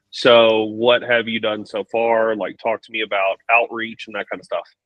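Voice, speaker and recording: A man's medium-pitched voice at a moderate pace, monotone and flat in intonation, with big swings in loudness. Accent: Texan. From Texas. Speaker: business coach. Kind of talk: live coaching Q&A call.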